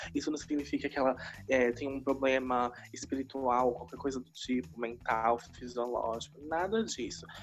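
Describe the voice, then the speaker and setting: This woman's voice is very deep and low in pitch, with vocal fry. She talks at a moderate pace. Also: ordinary pitch variation. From São Paulo city (Itaquera). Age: 20s. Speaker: university student and drag artist. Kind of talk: interview.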